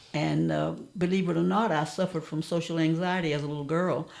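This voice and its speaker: With an American accent, a woman speaks at a fairly low pitch with vocal fry. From US South. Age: 80s+. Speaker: elder sharing life stories. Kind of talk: interview reminiscence.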